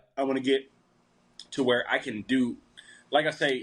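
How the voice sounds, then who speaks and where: At a moderate pace, this man talks in a medium pitch. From US, rural Appalachian area. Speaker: country singer and comedy content creator. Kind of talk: casual interview chat.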